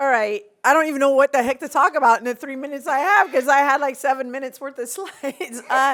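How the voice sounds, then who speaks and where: In an American accent, a woman talks at a very fast pace with a high pitch and big swings in loudness. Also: ordinary pitch variation. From US, Los Angeles. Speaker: conference panelist, homelessness sector leader. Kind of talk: conference panel presentation. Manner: hesitant, many fillers and repeats.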